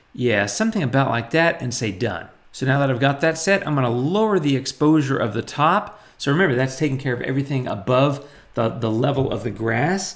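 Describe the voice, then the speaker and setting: Animated in tone, a man talks at a fairly quick pace with lively intonation and a fairly high pitch. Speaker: photo editing tutorial YouTuber. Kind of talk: tutorial. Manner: fast.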